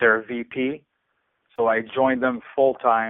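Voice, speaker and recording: In a Quebec accent, a man talks at a medium pitch and moderate pace with monotone, flat intonation. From Quebec City, Canada. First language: French. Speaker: podcast host, media executive. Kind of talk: interview. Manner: halting with fillers.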